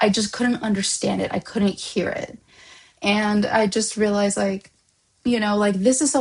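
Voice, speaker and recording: The voice is somewhat breathy, with fairly even intonation and a moderate pace. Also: woman. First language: Spanish. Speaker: vlogger. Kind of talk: personal reflection vlog. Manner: hesitant, many fillers and restarts.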